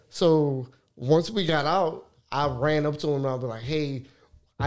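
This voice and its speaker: A man speaks with a South Louisiana accent. His pitch varies in an ordinary way. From Lafayette, Louisiana (North Side). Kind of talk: casual interview.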